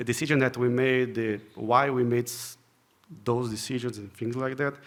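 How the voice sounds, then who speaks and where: A man with a Portuguese accent, medium in pitch, at a moderate pace. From Brazil. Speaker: software engineer, conference speaker. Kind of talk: conference talk. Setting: stage with audience. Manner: halting, frequent repetitions and fillers.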